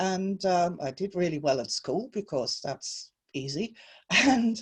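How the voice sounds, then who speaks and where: In a German accent, a woman speaks fairly slowly at a medium pitch, her dark, mellow voice somewhat breathy and full of very wide pitch swings, against a quiet background. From Germany. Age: 60s. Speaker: spiritual author and teacher. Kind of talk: interview.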